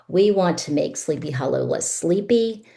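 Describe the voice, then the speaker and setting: With very wide pitch swings, a woman speaks at a moderate pace in a dark, mellow tone. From immigrant to the US as a small child. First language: non-English language. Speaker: mayoral candidate. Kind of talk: candidate forum closing statement. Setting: public candidate forum.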